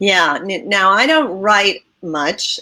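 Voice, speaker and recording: A woman with an American accent and a bright, sharp tone. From US Northeast, Connecticut. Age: 60s. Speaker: magazine publisher. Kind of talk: interview.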